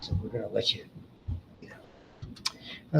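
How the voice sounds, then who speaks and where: A man speaks with an American accent. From New York City area. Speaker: college biology instructor. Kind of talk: lecture. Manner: fast.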